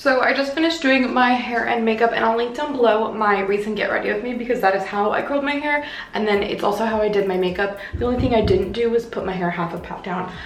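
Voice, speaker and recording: Amid noticeable background noise and audible room echo, a woman with a fairly high pitch talks at a very fast pace with hardly any pauses. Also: ordinary pitch variation. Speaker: lifestyle vlogger. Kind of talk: vlog narration.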